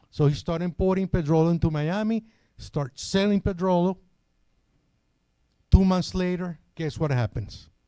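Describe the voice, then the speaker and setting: This man's voice sits high for a man, with a dark, mellow tone and a Venezuelan accent, moving at a moderate pace with ordinary pitch variation, long and frequent pauses, and a dry, close sound with no echo. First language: Spanish. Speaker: product trainer. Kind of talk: technical seminar presentation. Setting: hotel seminar with live audience. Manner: repetitive, stammering restarts.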